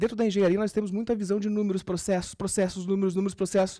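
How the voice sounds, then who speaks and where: Very fast and high-pitched for a man, his voice has a dark, mellow tone and ordinary pitch variation. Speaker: podcast host and startup consultant giving a talk. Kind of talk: live talk to an audience.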